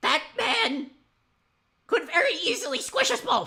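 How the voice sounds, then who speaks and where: In a put-on character voice, the speaker uses a high pitch with very wide pitch swings at a fairly slow pace. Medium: actual play.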